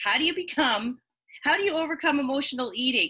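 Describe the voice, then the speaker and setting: Projecting her voice, a woman speaks fairly quickly in a high, bright, sharp tone. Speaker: online marketing coach. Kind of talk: web-class presentation. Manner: fast.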